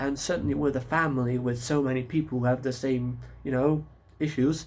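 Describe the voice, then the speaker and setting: At a fairly slow pace, a man with a non-native accent speaks in a medium pitch with ordinary pitch variation. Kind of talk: casual talk to camera. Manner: rambling, hesitant.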